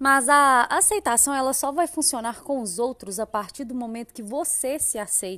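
Her high-pitched voice has a bright, sharp tone and an animated delivery at a moderate pace, with ordinary pitch variation. The recording of this woman is very clean, with a silent background and a dry, close sound with no echo. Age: 30s. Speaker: podcast host. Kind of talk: solo podcast monologue.

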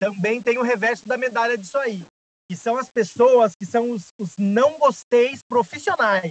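At a fairly slow pace, a man speaks in an extremely high pitch with ordinary pitch variation. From Brazil, São José dos Campos (São Paulo state). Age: 20s. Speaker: actor and playwright. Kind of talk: casual chat.

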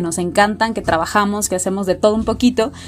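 In an unremarkable speaking voice, a woman talks fairly quickly at medium pitch with ordinary pitch variation. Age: 20s. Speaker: podcast co-host. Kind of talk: casual chat.

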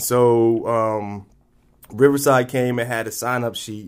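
This man has an American accent and a medium pitch. He talks very slowly with fairly even intonation. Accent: people say he speaks proper. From military family, raised around the US and abroad. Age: 30s. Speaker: recently released inmate in recovery. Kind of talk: personal testimony interview. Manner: halting, repeats words.

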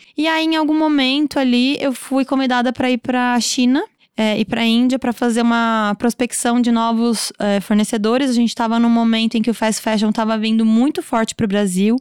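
An ordinary speaking voice moves at a fairly quick pace with fairly even intonation and very even loudness, captured in a very clean recording with a silent background and a dry, close sound with no echo. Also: woman, fairly high pitch for a woman. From Brazil, São Paulo state countryside. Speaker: fashion designer and brand owner. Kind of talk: casual interview.

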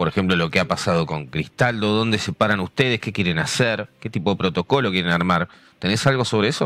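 With a Rioplatense accent, a man speaks at a very fast pace in a fairly low pitch with ordinary pitch variation, the sound dry and close with no echo. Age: 40s. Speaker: podcast host. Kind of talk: interview.

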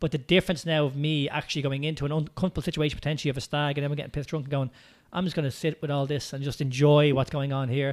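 Spoken very fast in an Irish accent, the delivery keeps a monotone, flat intonation. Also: man, fairly high pitch for a man. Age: 30s. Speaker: movement coach and business owner. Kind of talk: casual interview chat.

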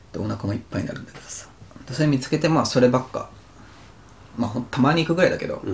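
A man at a very fast pace, somewhat breathy and medium in pitch, with long, frequent pauses and big swings in loudness. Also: ordinary pitch variation. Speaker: podcast co-host, office worker. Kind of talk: casual chat.

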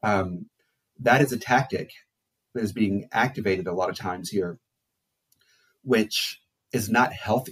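Fairly slow and somewhat breathy, a man speaks at a fairly low pitch with ordinary variation. He leaves long, frequent pauses. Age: 40s. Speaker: psychologist and therapist. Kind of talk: casual interview. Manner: halting.

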